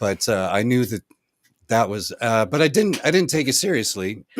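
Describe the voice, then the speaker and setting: At a moderate pace, a man uses a plain, everyday voice with lively intonation, in a dry, close sound with no echo on a very clean recording with a silent background. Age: 60s. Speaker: music producer and musician. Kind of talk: live-stream casual chat. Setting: recording studio, live stream.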